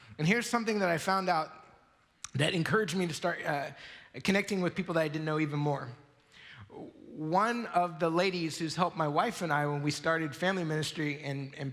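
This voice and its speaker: A man's fairly high voice at a very fast clip, with ordinary pitch variation and audible room echo. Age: 40s. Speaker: pastor. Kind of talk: sermon. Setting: church.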